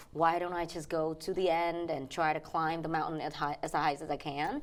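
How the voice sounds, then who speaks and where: A woman with a Vietnamese accent speaks at a fairly low pitch in a monotone, flat intonation. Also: moderate pace. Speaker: financial educator and pianist. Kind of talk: interview. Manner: halting.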